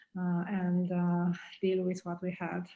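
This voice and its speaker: A woman with a Romanian accent speaks fairly slowly at a medium pitch. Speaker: pathology professor. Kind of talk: panel discussion. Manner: halting, many fillers.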